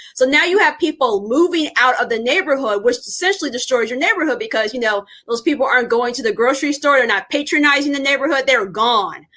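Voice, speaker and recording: A woman's raised, projected voice with an American accent, high in pitch, at a very fast pace, with lively intonation. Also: hardly any pauses. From Indianapolis, US Midwest. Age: 30s. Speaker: podcast host, educator. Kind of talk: interview podcast. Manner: casual, conversational.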